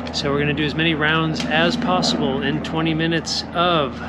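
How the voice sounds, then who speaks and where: A man at a moderate pace amid loud background noise. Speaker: fitness coach. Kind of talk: casual vlog chat. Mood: candid, admits anxiety. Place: garden. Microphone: earbuds.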